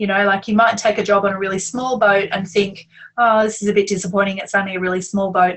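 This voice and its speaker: A woman's medium-pitched voice with an Australian accent, very fast and with monotone, flat intonation. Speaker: yacht crew coach, interviewer. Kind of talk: interview.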